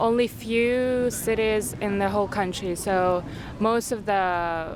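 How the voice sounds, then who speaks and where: A woman with a Kyrgyz accent speaks at a fairly slow pace and medium pitch, with fairly even intonation and very even loudness. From Kyrgyzstan. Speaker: university student. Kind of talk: casual interview chat. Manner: halting, with fillers.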